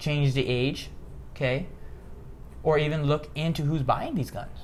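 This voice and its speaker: A man with a fairly high voice speaks at a fairly slow pace, somewhat breathy, with audible room echo. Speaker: political commentary podcast host. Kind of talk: casual political discussion. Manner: occasional stutter; animated, emphatic.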